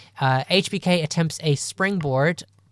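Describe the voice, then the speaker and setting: The speaker has an Irish accent, captured in a very clean recording with a silent background. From Ireland. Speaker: wrestling podcast co-host. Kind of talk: casual podcast recap of a wrestling show.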